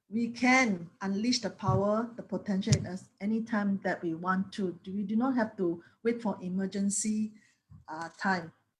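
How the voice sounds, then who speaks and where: The woman's voice is somewhat breathy. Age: 50s. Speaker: network marketing distributor. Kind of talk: motivational talk.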